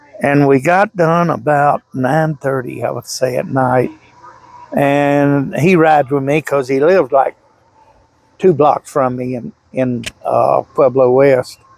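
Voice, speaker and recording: In a Southern US accent, a man speaks at a very slow pace and fairly high pitch with ordinary pitch variation, in a dry, close sound with no echo. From Louisiana. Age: 70s. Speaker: eyewitness, hunter. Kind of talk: interview testimony.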